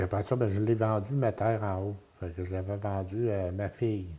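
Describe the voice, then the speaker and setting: In a Quebec accent, a man talks at a moderate pace with a dark, mellow tone and fairly even intonation. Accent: rural Quebec French. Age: 70s. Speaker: retiree interviewed about his life. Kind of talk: interview. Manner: halting.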